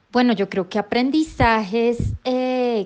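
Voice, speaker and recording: In a quiet setting, a woman talks very slowly, her intonation fairly even. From Colombia, Chía near Bogotá. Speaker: nonprofit education executive. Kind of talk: recorded voice message answers.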